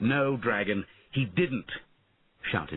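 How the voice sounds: Pitch shifts in an ordinary way as a natural reading voice goes on.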